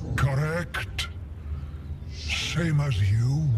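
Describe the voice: A man's hoarse, croaky cartoonish character voice at a medium pitch, over loud background noise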